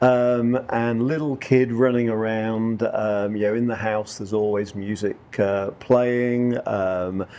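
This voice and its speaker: In a northern English accent, the speaker talks at a very slow pace with hardly any pauses. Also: man, medium pitch for a man. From northern England. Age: 40s. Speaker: country musician. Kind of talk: interview. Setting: couch interview.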